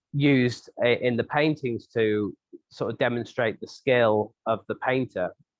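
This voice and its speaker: With a southern English accent, a man speaks at a medium pitch and a fairly slow pace. His intonation stays fairly even. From England, St Albans. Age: 30s. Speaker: glassblower and sculptor. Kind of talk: interview answer.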